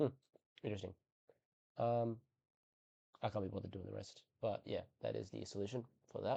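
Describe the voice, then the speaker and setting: Speaking at a fairly quick pace with long, frequent pauses, a man talks in an Australian accent. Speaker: maths tutor. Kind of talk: tutorial. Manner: casual, hesitant with fillers.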